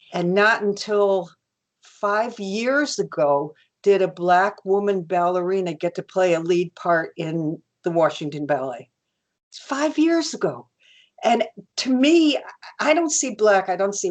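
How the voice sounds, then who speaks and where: A woman at a medium pitch with very wide pitch swings and a fairly slow pace. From New York City area. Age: 70s. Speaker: artist. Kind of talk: interview. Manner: halting.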